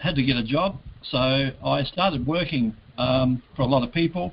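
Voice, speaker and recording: Speaking with an Australian accent, a man uses ordinary pitch variation. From Adelaide, South Australia. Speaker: entrepreneur. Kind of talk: interview. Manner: casual.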